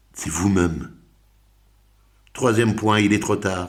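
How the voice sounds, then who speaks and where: Audible room echo hangs on talking that moves fairly slowly. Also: man. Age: 60s. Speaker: personal development coach. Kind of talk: motivational talk. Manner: animated.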